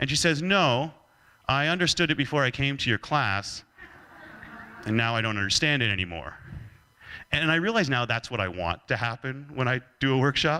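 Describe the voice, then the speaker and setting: A man with a Canadian accent speaks fairly quickly, with long, frequent pauses and very even loudness. His tone is bright and sharp, with lively intonation and vocal fry. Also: medium pitch for a man. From Canada. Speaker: leadership speaker. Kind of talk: keynote talk.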